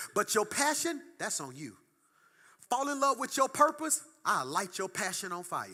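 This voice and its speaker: A man speaks in a high, bright, sharp voice, raised and projected, at a moderate pace. His tone is animated, with very wide pitch swings. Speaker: pastor. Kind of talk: sermon.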